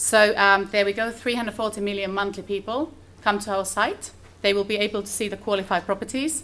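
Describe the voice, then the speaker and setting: A woman with a Finnish accent talks at a fairly quick pace, her medium-pitched voice bright and sharp in tone, with fairly even intonation. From Finland. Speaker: conference speaker. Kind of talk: conference presentation. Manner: fast.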